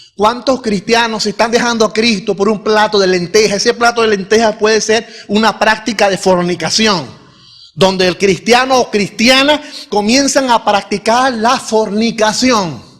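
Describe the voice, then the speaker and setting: Amid noticeable background noise, the speech runs fairly slowly with very even loudness and fairly even intonation. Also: man, high pitch for a man. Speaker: pastor. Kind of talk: sermon. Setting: church.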